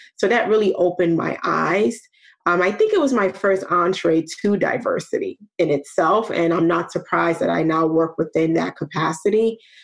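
A woman with a New York accent speaks at a moderate pace and fairly low pitch, with ordinary pitch variation and very even loudness. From New York (Brooklyn), with some childhood in Nigeria. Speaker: program manager in a diversity initiative. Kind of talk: interview.

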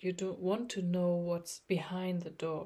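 In a calm, soothing, dark and mellow tone, a woman with a fairly low, somewhat breathy voice speaks at a fairly slow pace. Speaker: meditation coach. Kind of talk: guided meditation. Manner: slow, calm, soothing; soft, hushed, with pauses between instructions.

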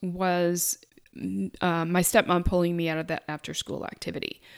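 A woman speaks quietly at a moderate pace. The recording is very clean, with a silent background. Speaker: money mindset coach, podcast host. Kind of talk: solo podcast monologue. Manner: quiet, calm.

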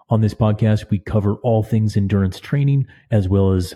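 This man's voice has a dark, mellow tone with a slightly husky edge. His pitch sits fairly low.

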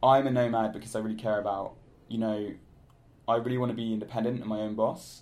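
At a very fast pace, a man with a medium-pitched voice and a British accent speaks in a flat monotone. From United Kingdom. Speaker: digital nomad. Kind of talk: interview.

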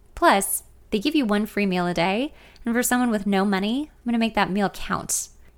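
Here is a woman with an ordinary speaking voice, fairly high in pitch with ordinary pitch variation. She talks at a fairly quick pace on a very clean recording with a silent background. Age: 30s. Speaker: podcaster reading her memoir. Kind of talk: reading aloud.

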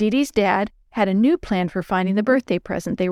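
This is an unforced reading voice, and its pitch moves up and down by an ordinary amount.

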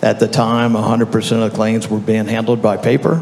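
A man with a Southern US accent speaks at a moderate pace in a fairly low pitch. His intonation is monotone and flat, and there is noticeable background noise. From Louisiana. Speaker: software company founder. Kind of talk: panel discussion. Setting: stage with audience.

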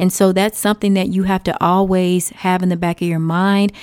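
In a Texan accent, a woman talks at a moderate pace with a dark, mellow tone, her voice dry and close with no echo on a very clean recording over a silent background. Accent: Texan American English. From Texas. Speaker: podcast host. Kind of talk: casual advice monologue.

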